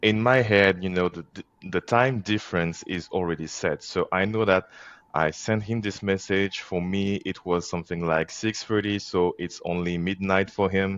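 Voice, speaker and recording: A man with a French accent and a very deep, low pitch, at a moderate pace with fairly even intonation. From France. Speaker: organization co-founder. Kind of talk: podcast interview. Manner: halting.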